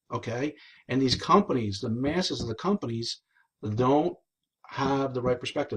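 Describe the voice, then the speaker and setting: Somewhat breathy, a man with an American accent speaks against a quiet background. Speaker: network marketing team leader. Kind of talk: live stream talk. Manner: fast; animated.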